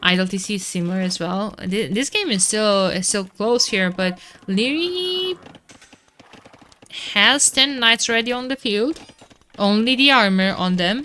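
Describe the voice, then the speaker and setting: Amid noticeable background noise, a woman with a Romanian accent speaks fairly slowly in a fairly high, animated voice with lively intonation, leaving long, frequent pauses. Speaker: esports caster. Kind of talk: live commentary. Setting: live stream.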